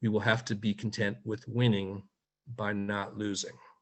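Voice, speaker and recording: With an American accent, a man talks at a moderate pace in a plain, everyday voice pitched fairly low. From United States. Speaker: media watchdog editor. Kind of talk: webinar talk. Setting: video call.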